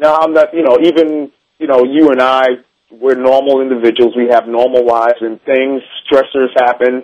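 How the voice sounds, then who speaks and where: A man with an unremarkable speaking voice talks at a moderate pace and a medium pitch, his intonation fairly even. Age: 40s. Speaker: personal trainer. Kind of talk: radio interview.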